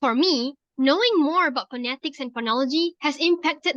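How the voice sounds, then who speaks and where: A woman with a Malaysian accent talks at a fairly quick pace and high pitch with lively intonation, in a dry, close sound with no echo against a quiet background. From Penang, Malaysia. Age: 20s. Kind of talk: scripted class assignment conversation.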